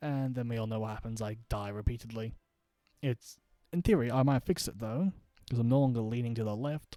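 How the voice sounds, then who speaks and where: A dark, mellow tone with an Australian accent at a fairly quick pace, ordinary pitch variation, and a dry, close sound with no echo. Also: man. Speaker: gaming streamer. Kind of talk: casual live stream chat. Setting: home streaming setup at night.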